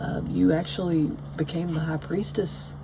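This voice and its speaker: A woman with a Southern US accent at a fairly slow pace, amid noticeable background noise and audible room echo. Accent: Southern US country. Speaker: tarot reader. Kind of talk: tarot reading monologue. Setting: at home. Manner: rambling, many fillers.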